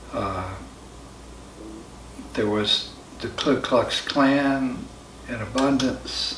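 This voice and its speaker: A very slow American accent with long, frequent pauses and ordinary pitch variation, amid audible room echo and noticeable background noise. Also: man, medium pitch for a man. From US South, rural Central Florida. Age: 60s. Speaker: spiritual follower telling his life story. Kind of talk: personal testimony interview. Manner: halting, many fillers.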